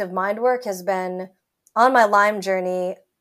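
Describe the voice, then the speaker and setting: Speaking at a fairly slow pace with an American accent, a woman uses an animated tone and ordinary pitch variation on a very clean recording with a silent background. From United States. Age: 30s. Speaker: chronic illness patient and wellness app community lead. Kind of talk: interview. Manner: animated, laughs a lot.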